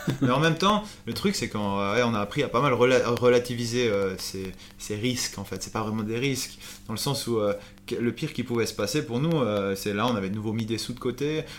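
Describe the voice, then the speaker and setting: A man talks fairly quickly with music playing behind him. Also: medium pitch for a man, ordinary pitch variation. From Switzerland, Valais. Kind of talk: casual interview. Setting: recorded over a few beers.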